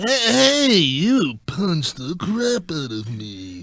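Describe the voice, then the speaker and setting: Putting on a character voice, a man speaks very slowly at a fairly high pitch with very wide pitch swings. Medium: comedy sketch.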